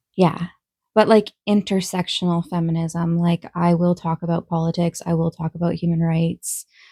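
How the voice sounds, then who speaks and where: A woman speaks at a moderate pace with a fairly low pitch, a somewhat breathy, dark, mellow tone and a flat, monotone delivery. The recording is very clean and dry, with a silent background and a close sound with no echo. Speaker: vlogger. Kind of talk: casual Q&A vlog. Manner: sometimes monotone; hesitant, many fillers.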